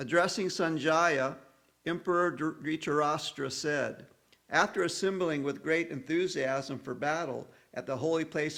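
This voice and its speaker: The man's voice sits fairly high, with ordinary pitch variation and a fairly slow pace. The recording is very clean, the background silent. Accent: American. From US South. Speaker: audiobook reader of scripture with commentary. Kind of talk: reading aloud; spoken introduction.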